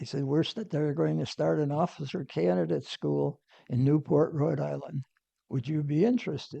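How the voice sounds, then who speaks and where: Fairly high-pitched man, somewhat breathy and dark, mellow in tone, with lively intonation at a moderate pace. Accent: American. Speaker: navy veteran. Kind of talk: interview answer.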